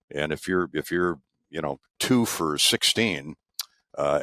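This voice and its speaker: Recorded with a dry, close sound and no echo, a man with a Midwestern US accent speaks at a very deep, low pitch with ordinary pitch variation. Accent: US Midwest. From Eastern Iowa. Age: 70s. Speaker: sports play-by-play broadcaster. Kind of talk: oral history interview. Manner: halting with many fillers.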